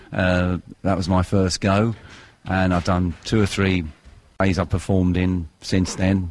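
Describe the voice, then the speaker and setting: A man with a London accent speaks at a fairly slow pace in a very deep, low voice, his intonation monotone and flat. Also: very even loudness. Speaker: amateur theatre director. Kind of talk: radio interview.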